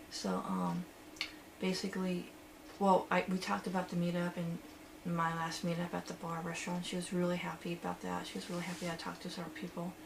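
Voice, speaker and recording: A woman speaks very fast at a fairly low pitch. Noticeable background noise runs behind her. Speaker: vlogger in social anxiety therapy study. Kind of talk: personal video diary. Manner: louder than before; halting, many fillers.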